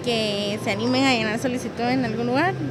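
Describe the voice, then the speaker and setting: A woman speaks with a fairly high pitch and ordinary variation in her pitch. Noticeable background noise runs behind her. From Guatemala, Escuintla. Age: 40s. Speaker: job seeker. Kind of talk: interview. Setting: job fair. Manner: halting.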